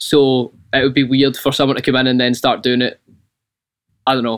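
In a Scottish accent, a man speaks very fast. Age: 20s. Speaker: band singer and guitarist.

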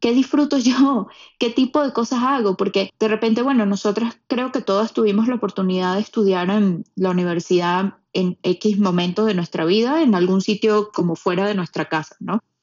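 A woman with an ordinary speaking voice and a fairly high pitch talks at a moderate pace, with lively intonation and hardly any pauses. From Venezuela, Puerto Ordaz. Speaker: podcast producer, immigrant. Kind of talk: casual chat.

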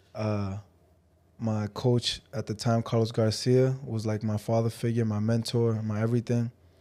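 A man's medium-pitched, dark, mellow voice in monotone, flat intonation, very cleanly recorded over a silent background. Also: moderate pace. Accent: American. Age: 20s. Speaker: professional boxer. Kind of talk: interview. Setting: studio.

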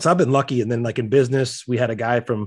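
Speaking very fast with an American accent, a man keeps a medium pitch and fairly even intonation. The recording is very clean and the background silent. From US Midwest (South Dakota). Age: 40s. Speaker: gym owner and business coach. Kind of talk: casual interview.

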